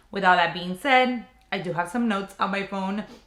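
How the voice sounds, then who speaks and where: There is noticeable background noise as a woman talks at a moderate pace. Her medium pitch shows ordinary variation. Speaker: handbag content creator. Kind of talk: casual chat.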